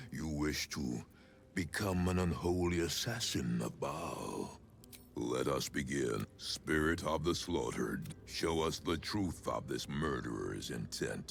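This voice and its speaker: A man puts on a character voice, pitched very deep and low, at a fairly slow pace. Clear background noise sits behind him. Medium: video game. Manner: grave, imposing.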